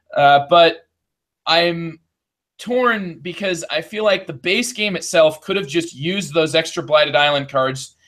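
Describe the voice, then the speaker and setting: A man speaks with a Midwestern accent. His pitch is high and his pace fairly slow. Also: ordinary pitch variation. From US Midwest. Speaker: board game podcast host. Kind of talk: game review.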